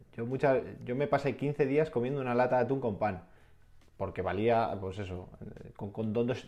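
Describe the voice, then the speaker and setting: A man's medium-pitched voice with a dark, mellow tone, ordinary pitch variation, a moderate pace and long, frequent pauses. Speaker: adventurer and dream-project entrepreneur. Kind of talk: interview.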